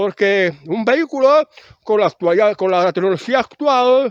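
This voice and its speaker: Very slowly and with ordinary pitch variation, a man speaks in a high pitch, the sound dry and close with no echo. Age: 60s. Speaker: video blogger. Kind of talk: casual monologue. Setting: outdoors. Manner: halting.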